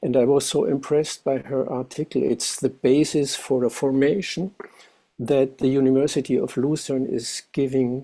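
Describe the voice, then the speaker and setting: The speaker has a German accent and a dark, mellow tone. Delivery is fairly slow, with fairly even intonation. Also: man. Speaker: music educator, meeting participant. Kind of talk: discussion comment.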